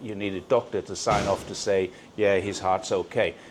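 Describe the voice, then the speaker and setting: A man with a fairly low pitch at a moderate pace. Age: 60s. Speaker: YouTuber and cyclist. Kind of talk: casual chat. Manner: halting.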